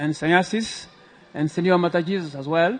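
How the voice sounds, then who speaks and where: Here a man talks with a West African accent at a high pitch. His intonation stays fairly even. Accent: French-speaking West African. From Ivory Coast. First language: French. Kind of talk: religious scripture lecture. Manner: halting, with many filler sounds.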